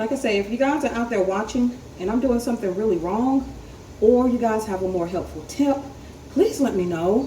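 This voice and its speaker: A woman with an American accent, fairly high-pitched and fairly quick, ordinary pitch variation, noticeable background noise and audible room echo. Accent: picking up a country twang. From North Carolina. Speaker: home canning vlogger. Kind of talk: tutorial. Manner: casual, hesitant with frequent ums.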